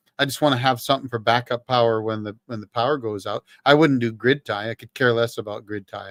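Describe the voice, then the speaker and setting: In a very clean recording with a silent background and a dry, close sound with no echo, a man of medium pitch talks at a very fast pace with hardly any pauses, fairly even intonation and big swings in loudness. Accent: Canadian. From British Columbia, Canada. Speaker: livestream host, ex-Marine talking off-grid power. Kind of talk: casual livestream chat. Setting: solo livestream. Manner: conversational, with fillers and restarts.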